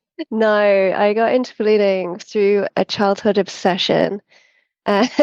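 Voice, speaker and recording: In an English accent, the voice holds a calm tone with monotone, flat intonation. The sound is dry and close with no echo, over a quiet background. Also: woman. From central England. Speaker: hot air balloon pilot. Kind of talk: interview conversation.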